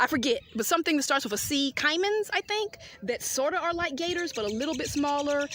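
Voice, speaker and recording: A woman speaks in an animated tone at a fairly quick pace. Her high voice swings very widely in pitch. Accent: Southern US. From US South. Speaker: travel vlogger. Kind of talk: casual vlog narration. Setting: outdoors.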